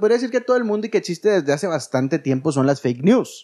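With an animated tone and a Mexican accent, a man speaks at a high pitch with very wide pitch swings against a quiet background. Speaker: podcast co-host, former radio host. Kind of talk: casual chat.

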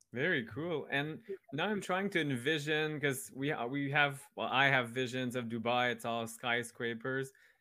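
A man's plain, everyday voice at a medium pitch and moderate pace, with ordinary pitch variation. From Canada. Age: 40s. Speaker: podcast host. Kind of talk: casual interview chat.

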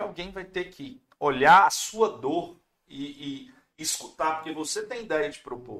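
With a bright, sharp tone, a man speaks at a fairly high pitch and swings it very widely. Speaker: podcast host. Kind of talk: casual chat. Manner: talkative.

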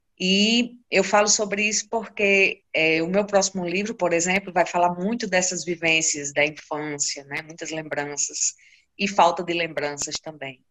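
A woman's fairly low pitch, ordinary pitch variation and fairly slow pace, with an unremarkable speaking voice. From Brazil, Seridó region of Rio Grande do Norte (Currais Novos). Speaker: poet and researcher. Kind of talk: interview.

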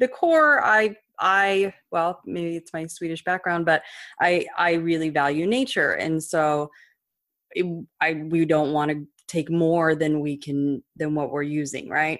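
An unremarkable speaking voice at a fairly slow pace with ordinary pitch variation, in a very clean recording with a silent background. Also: woman, fairly low pitch for a woman. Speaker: podcast host. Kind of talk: interview conversation.

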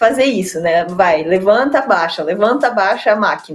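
With music in the background, a woman talks at a moderate speed and with lively intonation. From São Paulo state, Brazil. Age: 30s. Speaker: olympic table tennis player. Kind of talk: interview conversation.

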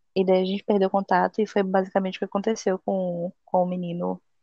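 A woman at a fairly quick pace, her intonation flat and monotone. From Bahia, Brazil (Salvador). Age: 20s. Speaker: podcast host. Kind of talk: casual chat.

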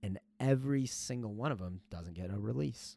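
A man talks at a moderate pace with lively intonation. The recording is very clean, with a silent background. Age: 30s. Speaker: US Marine, scout sniper. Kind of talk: casual interview.

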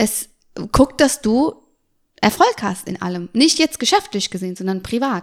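The voice belongs to a woman and sits at a high pitch. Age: 30s. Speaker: make-up artist and cosmetics entrepreneur. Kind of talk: interview.

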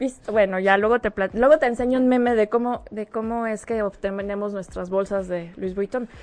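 A woman talks at a moderate pace, keeping her intonation fairly even. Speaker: guest co-host. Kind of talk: casual chat.

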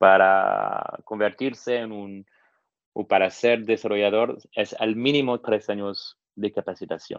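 Fairly low in pitch, a man speaks at a very slow pace. His intonation stays fairly even. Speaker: tech entrepreneur, no-code expert. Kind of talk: interview. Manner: hesitant, with many fillers.

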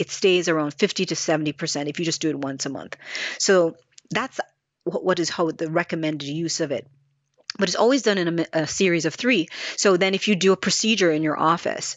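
Fairly low in pitch, a woman with an unremarkable speaking voice talks at a fairly quick pace. Her pitch varies in an ordinary way. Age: 50s. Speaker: skincare company founder. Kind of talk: casual interview.

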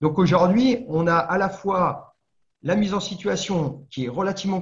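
A man speaking at a moderate pace. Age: 50s. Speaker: former firefighter, fire safety trainer and entrepreneur. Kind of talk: interview. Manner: halting, many fillers.

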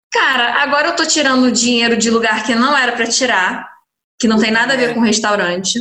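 In a room with audible echo, a woman speaks at a high pitch in an animated tone, with ordinary pitch variation and very even loudness. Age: 20s. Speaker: restaurant owner. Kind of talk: interview.

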